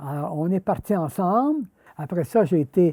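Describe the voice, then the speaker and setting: A man with a Quebec accent and a dark, mellow tone, lively in intonation, the sound dry and close with no echo. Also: very clean recording, silent background. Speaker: retired judge. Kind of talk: personal storytelling interview.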